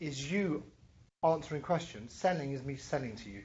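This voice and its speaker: With a London accent, the speaker keeps a moderate pace. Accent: European (London). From London, England. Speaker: entrepreneur and business educator, angel investor. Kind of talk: workshop lecture.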